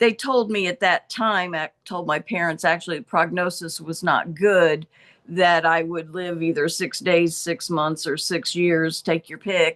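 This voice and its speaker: A woman with a normal speaking voice, fairly low in pitch, fairly slow, with ordinary pitch variation and a dry, close sound with no echo. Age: 60s. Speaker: health product user giving testimonial. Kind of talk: testimony.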